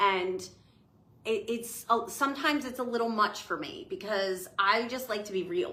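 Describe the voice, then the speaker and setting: A woman with a New Jersey accent, fairly high-pitched and bright and sharp in tone, with lively intonation and an animated delivery at a moderate pace, in audible room echo. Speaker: spiritual business owner, oracle deck creator. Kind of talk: casual chat.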